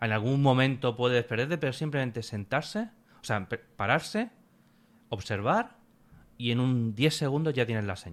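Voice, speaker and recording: A man speaks at a moderate pace and medium pitch, with ordinary pitch variation. He leaves long, frequent pauses in a very clean recording with a silent background. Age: 30s. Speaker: pilgrim recounting a hiking trip. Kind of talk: casual interview.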